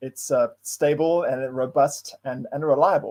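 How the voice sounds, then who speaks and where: The tone is dark and mellow. A man delivers it at a moderate pace. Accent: South African. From South Africa. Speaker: data science consultant, meetup presenter. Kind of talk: tech talk presentation. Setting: online livestream. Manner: hesitant, with fillers and repeated words.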